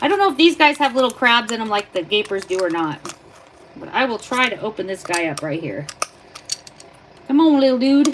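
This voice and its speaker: Pitch swings very widely and loudness shifts a lot. Long, frequent pauses break it up over noticeable background noise. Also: woman, high pitch for a woman. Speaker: livestreamer. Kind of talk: live stream tutorial. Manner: casual.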